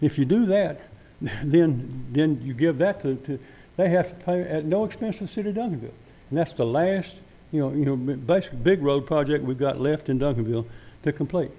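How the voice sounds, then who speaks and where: Speaking at a fairly quick pace, a man with a Texas accent uses lively intonation. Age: 70s. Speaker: former city council member. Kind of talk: public comment at council meeting. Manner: halting, repetitive.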